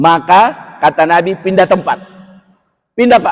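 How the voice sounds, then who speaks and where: A man talks loudly at a moderate pace. His tone is animated and his intonation lively. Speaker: Islamic preacher. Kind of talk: religious lecture. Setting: mosque.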